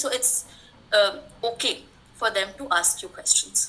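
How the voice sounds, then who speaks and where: Over noticeable background noise, a woman speaks in a raised, projected voice. Her pitch is high. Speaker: educational consultant and English teacher. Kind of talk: webinar talk. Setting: online webinar.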